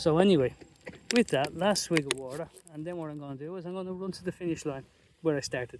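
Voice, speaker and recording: Someone with an Irish accent speaks at a very fast pace, with ordinary pitch variation. The loudness swings a lot, and background noise is noticeable. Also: man, fairly high pitch for a man. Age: 50s. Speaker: vlogger. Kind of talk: casual chat. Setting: outdoors. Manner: animated.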